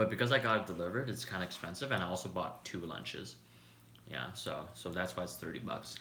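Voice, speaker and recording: A man talks in a relaxed tone with a Canadian accent. The room echo is audible. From Canada. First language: Cantonese. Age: 20s. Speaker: YouTuber, software engineer. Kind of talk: casual live stream chat. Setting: live stream while eating lunch. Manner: relaxed, chill.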